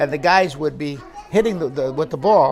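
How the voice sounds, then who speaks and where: With an American accent, a man speaks at a fairly quick pace and ordinary pitch variation. Noticeable background noise runs underneath. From New York. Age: old. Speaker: retired aerospace worker. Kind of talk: oral history interview. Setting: recorded interview.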